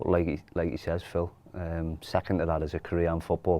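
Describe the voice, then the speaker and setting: A man speaks with a Geordie accent at a very deep, low pitch. His intonation stays monotone and flat. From Newcastle, northeast England. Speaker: football academy coach. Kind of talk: casual chat.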